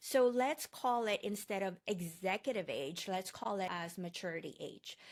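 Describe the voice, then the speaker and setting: With a Filipino accent, a woman speaks at a moderate pace. Her intonation is lively. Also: medium pitch for a woman. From Philippines. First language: Tagalog. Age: 40s. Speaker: online course instructor. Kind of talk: lecture.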